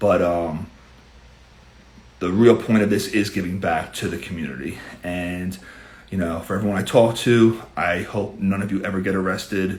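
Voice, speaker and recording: A man with a New York accent speaks at a very deep, low pitch with fairly even intonation, taking long, frequent pauses amid audible room echo. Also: moderate pace. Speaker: criminal defense attorney. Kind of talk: live Q&A stream. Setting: live stream.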